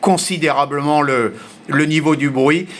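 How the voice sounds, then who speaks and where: A man talks in a fairly high pitch at a fairly slow pace. His intonation is fairly even. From grew up mostly abroad, French. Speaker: amateur radio operator. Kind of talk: radio contact conversation. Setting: shortwave radio contact. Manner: hesitant, many fillers.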